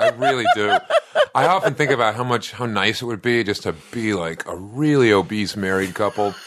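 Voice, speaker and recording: A man with an American accent speaks at a moderate pace and a medium pitch, with ordinary pitch variation. It is an unremarkable speaking voice. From US Northeast, Boston (South End). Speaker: comedian. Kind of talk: casual chat.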